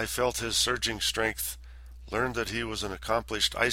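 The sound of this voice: The clip has an unforced reading voice. It stays that way throughout.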